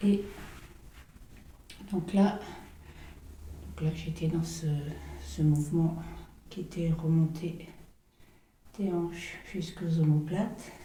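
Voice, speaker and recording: Soft-spoken and somewhat breathy, a woman talks very slowly in a fairly low, dark, mellow tone with flat, monotone intonation and long, frequent pauses. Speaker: massage therapist teaching. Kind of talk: guided massage tutorial, step-by-step commentary.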